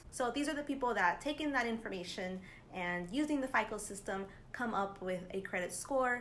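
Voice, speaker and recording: A woman at a moderate pace with ordinary pitch variation, audible room echo around her. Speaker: personal finance youtuber. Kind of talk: tutorial. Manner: casual, upbeat.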